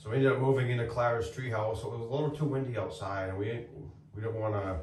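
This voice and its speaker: A quiet man against noticeable background noise. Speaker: homestead YouTuber and builder. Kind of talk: casual reflective chat. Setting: inside a treehouse in the woods. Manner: loud. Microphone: echoey room.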